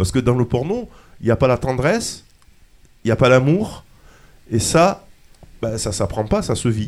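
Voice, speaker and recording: This man has a medium pitch and lively intonation. He speaks at a moderate pace, with long, frequent pauses. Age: 60s. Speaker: radio host in a retirement home. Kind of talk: casual radio discussion.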